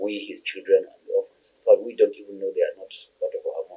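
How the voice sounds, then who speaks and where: With a northern Nigerian accent, a man talks at a very fast pace. His pitch is extremely high, and his tone is dark and mellow. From northern Nigeria, Bauchi State. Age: 60s. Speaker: retired chartered accountant. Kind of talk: interview. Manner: halting.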